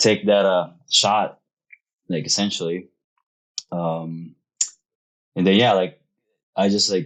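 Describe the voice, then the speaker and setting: A man with a very deep, low voice talks at a very slow pace, his intonation fairly even. Long pauses come often. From Philippines. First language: Filipino language. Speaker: real estate investor. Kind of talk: podcast interview.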